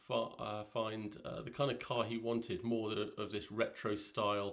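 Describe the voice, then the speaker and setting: The speaker is a man. Behind him, the background stays quiet. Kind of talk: casual vlog chat. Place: home room. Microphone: phone near.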